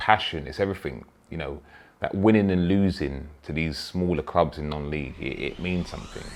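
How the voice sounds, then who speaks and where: Speaking with a London accent at a moderate pace, a man uses a very deep, low voice with ordinary pitch variation and big swings in loudness. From London (Peckham). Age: 30s. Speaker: footballer, club captain. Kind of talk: interview. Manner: halting.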